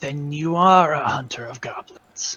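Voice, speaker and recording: A man puts on a character voice pitched fairly high. He speaks at a moderate pace. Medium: actual play. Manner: terse, oddly formal, third-person plural.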